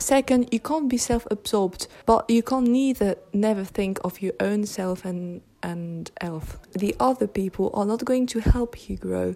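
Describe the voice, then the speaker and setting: A woman speaks at a very slow pace and a medium pitch. Her pitch variation is ordinary, and there is noticeable background noise. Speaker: podcast host. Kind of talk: solo monologue. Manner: casual with hesitations; slow careful articulation in English.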